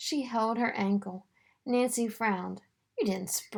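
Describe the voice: Plain reading aloud with ordinary pitch variation comes through against a quiet background.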